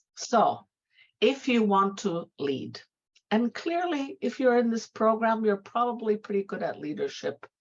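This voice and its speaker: A woman's fairly high pitch with very wide swings, at a fairly slow pace. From multicultural background, Latvian. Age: 60s. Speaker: retired executive and women's empowerment advocate. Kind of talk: motivational talk to students. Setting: virtual session.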